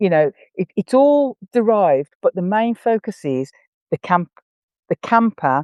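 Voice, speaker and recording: Very wide pitch swings mark a dark, mellow tone delivered at a moderate pace, with a dry, close sound with no echo and a quiet background. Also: woman. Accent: English. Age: 60s. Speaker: horse camp organiser and equestrian. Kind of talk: podcast interview.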